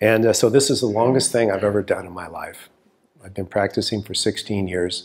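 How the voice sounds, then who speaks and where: In a normal speaking voice, a man talks at a fairly quick pace with fairly low pitch and fairly even intonation. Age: 60s. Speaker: acupuncturist and teacher. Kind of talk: course preview talk to camera.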